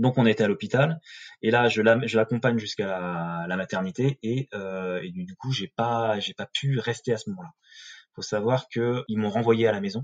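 Against a quiet background, a man talks at a fairly slow pace. His medium pitch shows ordinary pitch variation. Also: dry, close sound with no echo. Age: 30s. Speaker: new father. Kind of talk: testimony. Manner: halting.

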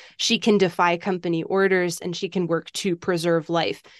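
A woman with a normal speaking voice talks at a moderate pace, fairly low in pitch with fairly even intonation. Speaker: author. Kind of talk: interview.

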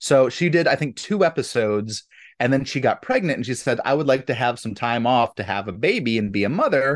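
Using an ordinary speaking voice, a man talks at a fairly quick pace and medium pitch with lively intonation. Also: quiet background. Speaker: podcast co-host. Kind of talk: casual chat.

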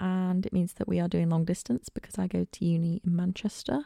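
In a Lincolnshire accent, a woman speaks at medium pitch with a dark, mellow tone, and the very clean recording has a silent background and a dry, close sound with no echo. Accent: northern English (Lincolnshire). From northern England, Lincolnshire coast. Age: 20s. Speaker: podcaster, university student. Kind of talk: casual solo podcast chat. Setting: recording alone at home. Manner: chatty, rambling.

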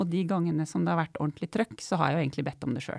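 On a very clean, dry and close recording with a silent background and no echo, a woman talks with vocal fry at a fairly low pitch. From Norway, Otta in Gudbrandsdalen. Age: 40s. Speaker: doctor and public debater. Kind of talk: casual chat.

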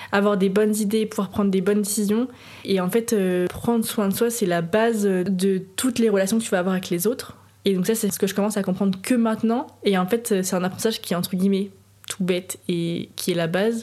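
An unremarkable speaking voice, this woman talks at a medium pitch with fairly even intonation and very even loudness. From France, Nantes. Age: 20s. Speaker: entrepreneur. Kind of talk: casual chat.

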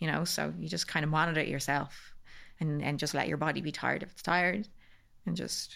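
Her voice is bright and sharp, with vocal fry and a very deep, low pitch for a woman. She talks at a fairly quick pace with fairly even intonation. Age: 30s. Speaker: cancer survivor sharing her story. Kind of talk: casual chat.

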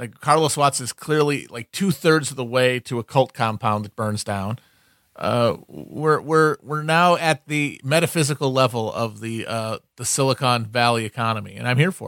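Recorded very cleanly against a silent background with a dry, close sound and no echo, a man with a plain, everyday voice speaks at a medium pitch and a moderate pace, with ordinary pitch variation and big swings in loudness. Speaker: podcast co-host. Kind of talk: casual comedic chat.

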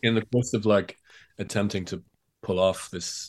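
With an Irish accent, a man speaks in a monotone, flat way at a moderate pace. The background is quiet. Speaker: author. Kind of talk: interview.

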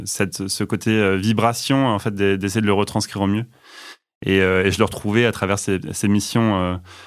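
A man speaks in a fairly low pitch. His loudness holds very even and his intonation fairly even. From Normandy, France (Rouen). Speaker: internal communications manager. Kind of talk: interview. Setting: studio. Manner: halting.

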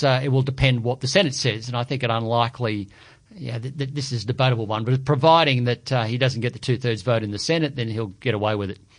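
Here a man speaks with an Australian accent at medium pitch. His pace is very fast, and his intonation fairly even. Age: 50s. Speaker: economist. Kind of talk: podcast panel discussion.

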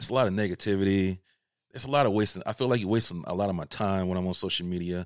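Very fast and with an American accent, a man talks on a very clean recording with a silent background, the sound dry and close with no echo. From Georgia, US South. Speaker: photographer. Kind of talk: casual interview chat.

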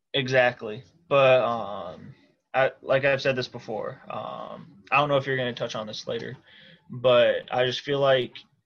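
With a Midwestern US accent, a man talks at a moderate pace. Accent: US Midwest. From Iowa, Cedar Rapids. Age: 20s. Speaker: football supporter. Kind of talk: casual chat.

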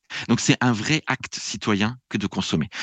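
In an unremarkable speaking voice, a man talks at a medium pitch and moderate pace, with a dry, close sound, no echo and a quiet background. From France. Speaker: public administration researcher and lecturer. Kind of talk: podcast interview.

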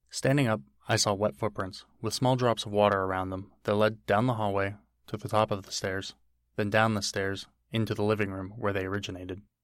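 A man with an ordinary speaking voice talks at a fairly quick pace, fairly low in pitch and fairly even in intonation, on a very clean recording with a silent background. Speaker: horror storyteller. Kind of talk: horror narration, first-person scripted story. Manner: calm, matter-of-fact, creeping dread.

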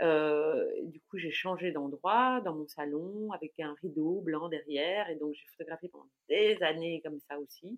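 An ordinary speaking voice from a woman, fairly low in pitch with ordinary pitch variation, at a fairly slow pace with hardly any pauses and big swings in loudness. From Belgium, Brussels. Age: 40s. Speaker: food blogger. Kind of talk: casual interview chat.

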